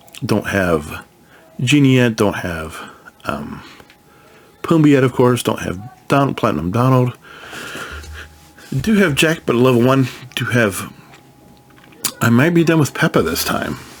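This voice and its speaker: Over noticeable background noise, a man at medium pitch speaks at a fairly slow pace, with very wide pitch swings and long, frequent pauses. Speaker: gaming youtuber. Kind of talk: casual game walkthrough. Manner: casual, halting with restarts.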